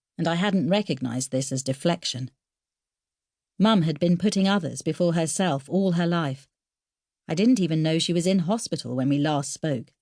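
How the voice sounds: In a very clean recording with a silent background, a woman speaks at a moderate pace in a low, slightly mellow voice with ordinary pitch variation.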